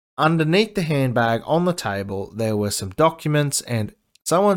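In an Australian accent, a man speaks at a fairly slow pace with lively intonation. The recording is very clean, the background silent. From Queensland, Australia. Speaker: podcast host. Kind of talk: news commentary. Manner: casual; sarcastic, profane.

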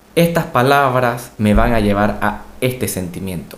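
Amid audible room echo, a man speaks very slowly with lively intonation. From Latin America. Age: 20s. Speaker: doctor and podcast co-host. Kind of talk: casual chat.

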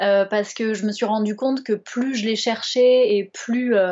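With a Bordeaux accent, a woman speaks in a fairly even intonation. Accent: southwest French (Bordeaux). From Bordeaux, southwest France. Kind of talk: casual interview chat. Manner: hesitant, many fillers.

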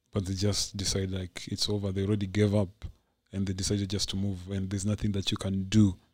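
A man at a very fast pace, fairly low in pitch, somewhat breathy and monotone in intonation, on a very clean recording with a silent background. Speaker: podcast host and voice artist. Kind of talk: casual chat.

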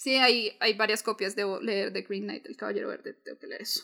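A woman speaks in a raised, projected voice with a bright, sharp tone at a fairly quick pace. The recording is very clean, with a silent background. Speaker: podcast co-host. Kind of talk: casual chat.

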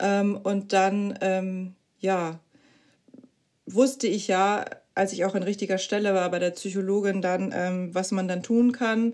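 Delivery is very slow and fairly even in intonation, broken by long, frequent pauses. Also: woman, medium pitch for a woman. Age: 30s. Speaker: mother sharing postpartum depression experience. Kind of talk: interview testimony.

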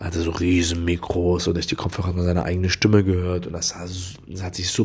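Very deep and low, a man's voice moves at a fairly quick pace. It sounds somewhat breathy. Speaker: podcaster and media student. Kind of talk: solo podcast monologue. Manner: calm, quieter than usual.

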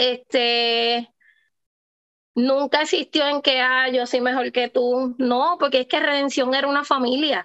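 In a very slow, high-pitched voice with a bright, sharp tone, a woman speaks with very even loudness and fairly even intonation, in a dry, close sound with no echo. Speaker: professional wrestler. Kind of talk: interview.

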